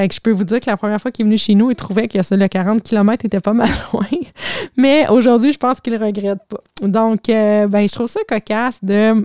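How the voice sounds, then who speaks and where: In a Quebec accent, a woman with a fairly high voice and a dark, mellow tone talks fairly quickly and fairly evenly, the sound dry and close with no echo. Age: 40s. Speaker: life coach. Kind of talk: casual storytelling monologue.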